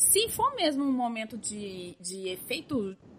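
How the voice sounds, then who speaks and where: A woman's voice is raised and projected. It has a bright, sharp tone. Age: 20s. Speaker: podcast host. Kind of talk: casual chat.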